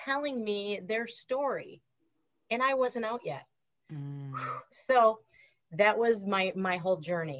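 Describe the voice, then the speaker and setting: A woman with a Wisconsin accent speaks at a fairly slow pace and fairly high pitch, with very wide pitch swings and long, frequent pauses. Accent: Wisconsin Upper Midwest. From Wisconsin, US. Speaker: former school counselor and author. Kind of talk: casual interview.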